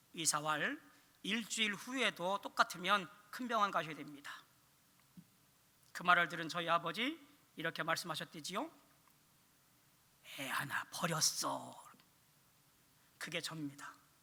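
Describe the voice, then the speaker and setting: Amid noticeable background noise, a man with a high pitch and ordinary pitch variation speaks with big swings in loudness and long, frequent pauses. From Korea, Chungcheong (Dangjin). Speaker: pastor / evangelism teacher. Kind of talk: sermon.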